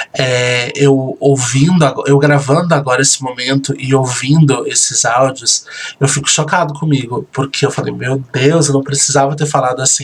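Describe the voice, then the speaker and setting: Noticeable noise sits behind this soft-spoken man. His intonation stays fairly even. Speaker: reality show host and admin. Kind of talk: recorded commentary.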